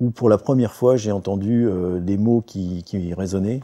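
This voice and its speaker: Over a quiet background, a man speaks at a moderate pace in a dark, mellow tone. His pitch is fairly low and his intonation fairly even. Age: 40s. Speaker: patient giving testimony. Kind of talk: testimony. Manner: halting, many hesitations.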